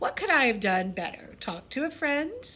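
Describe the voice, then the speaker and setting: A woman with a high pitch speaks in a raised, projected voice, her tone bright, sharp and animated, with very wide pitch swings. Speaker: elementary school staff presenter on school broadcast. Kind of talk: school morning show lesson for children. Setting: school video broadcast. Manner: animated, varied pitch.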